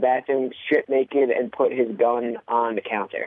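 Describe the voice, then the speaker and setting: An ordinary speaking voice from a man with an American accent, medium in pitch and fairly quick in pace. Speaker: podcast co-host. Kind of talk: casual movie review chat.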